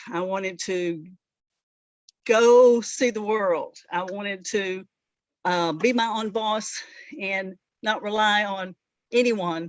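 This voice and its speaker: A woman speaks with a Southern US accent at a medium pitch. Her pace is very slow, with fairly even intonation and long, frequent pauses. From US South, rural northeast Alabama. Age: 60s. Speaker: veterinarian. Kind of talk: interview. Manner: halting.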